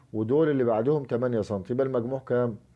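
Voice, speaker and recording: A man's medium-pitched voice with an Egyptian accent. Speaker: curtain-making and upholstery instructor. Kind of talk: tutorial. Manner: quiet, can't raise voice; halting, many fillers.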